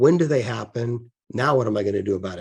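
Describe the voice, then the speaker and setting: Over a quiet background, a man speaks in a medium-pitched, somewhat breathy voice with a dark, mellow tone. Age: 60s. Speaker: business leadership presenter. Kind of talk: presentation. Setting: live online stream. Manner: halting, with frequent repeated words.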